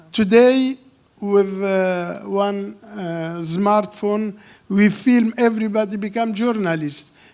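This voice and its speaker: A man with a non-native accent talks at a very slow pace. His pitch is high, with ordinary pitch variation. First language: not English. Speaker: film director. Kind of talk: Q&A interview. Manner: halting.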